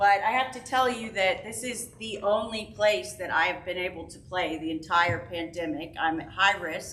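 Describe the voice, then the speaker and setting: Amid noticeable background noise, a woman talks at a moderate pace with lively intonation, big swings in loudness and hardly any pauses. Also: medium pitch for a woman. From Memphis, Tennessee. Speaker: cellist. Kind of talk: personal remarks at church forum. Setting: parish hall with audience.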